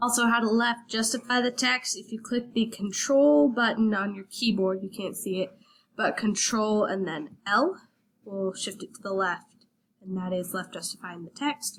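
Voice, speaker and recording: Her voice is somewhat breathy, a woman speaking at a fairly high pitch. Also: ordinary pitch variation, moderate pace. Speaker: student. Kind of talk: tutorial. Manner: casual, hesitant.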